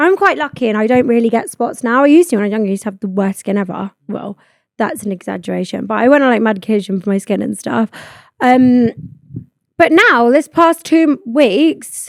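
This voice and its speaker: Sounding dry and close with no echo, a woman with a British accent talks in an animated tone at a fairly quick pace, her fairly high pitch carried by lively intonation. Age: 20s. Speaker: podcast host. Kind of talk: casual chat. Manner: fast.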